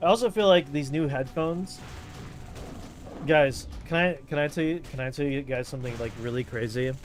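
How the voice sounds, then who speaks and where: An animated man with a fairly high pitch speaks over music in the background. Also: ordinary pitch variation, moderate pace. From Europe. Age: 30s. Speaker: gaming streamer. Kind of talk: casual chat. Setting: livestream. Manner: loud.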